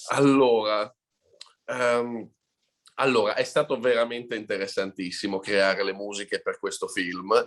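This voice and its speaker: A man with an Italian accent, medium in pitch, at a moderate pace with fairly even intonation. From Italy. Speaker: film composer. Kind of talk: live Q&A interview.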